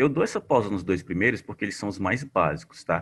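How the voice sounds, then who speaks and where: A man with a Paraíba accent, somewhat breathy with lively intonation, against a quiet background. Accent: Paraíba (northeastern Brazil). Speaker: teacher. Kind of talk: online class tutorial on spreadsheets. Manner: casual, conversational.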